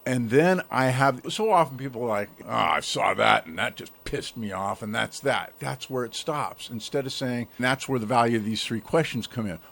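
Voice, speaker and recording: A man speaks in an ordinary speaking voice. His pitch is medium, with ordinary variation. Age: 60s. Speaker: self-development coach, podcast guest. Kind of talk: interview conversation.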